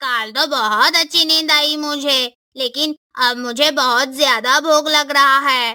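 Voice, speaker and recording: A cartoonish character voice, female-sounding and high in pitch. It moves along at a fairly slow pace. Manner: innocent, easygoing.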